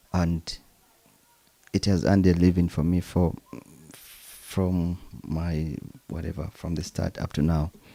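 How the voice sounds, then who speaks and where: With a Ugandan accent, a man speaks in a very deep, dark, mellow voice, monotone and flat, at a fairly slow pace with long, frequent pauses. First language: Luganda. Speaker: percussionist. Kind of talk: interview.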